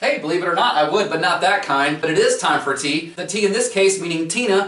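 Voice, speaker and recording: A man talks at a very fast pace. Some room echo can be heard. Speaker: comedy show host. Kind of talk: comedy show hosting. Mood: playful, sarcastic. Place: home room.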